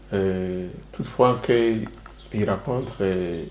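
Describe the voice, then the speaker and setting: A man with a Rwandan accent, fairly even intonation and audible room echo. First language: Kinyarwanda (speaking French). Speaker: show host. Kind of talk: interview discussion. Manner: hesitant, halting.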